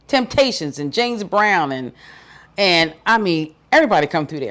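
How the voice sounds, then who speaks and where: On a very clean recording with a silent background, a woman talks at a fairly quick pace and medium pitch, her tone animated and her pitch swinging very widely. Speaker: radio host. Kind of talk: interview.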